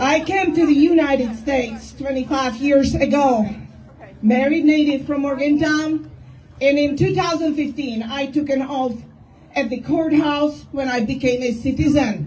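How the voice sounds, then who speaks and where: Fairly slow and high-pitched, a woman speaks with fairly even intonation. Audible room echo surrounds her voice. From Czechoslovakia. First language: Czech. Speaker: activist. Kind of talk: rally speech.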